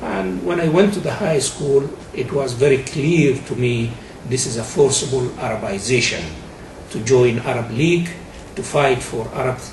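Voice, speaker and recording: A man talks at a medium pitch and moderate pace with lively intonation. Noticeable background noise and audible room echo fill the recording. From northern Sudan, Nubia. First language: Nubian. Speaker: activist. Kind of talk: testimony.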